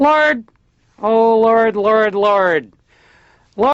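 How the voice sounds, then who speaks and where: Strained and fairly high-pitched, this is a put-on character voice. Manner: clipped, strained.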